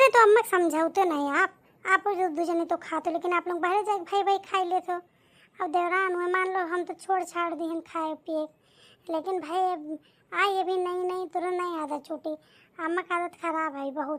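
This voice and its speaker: Using a cartoonish character voice, a woman pitches herself extremely high. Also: moderate pace. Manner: chatty, folksy.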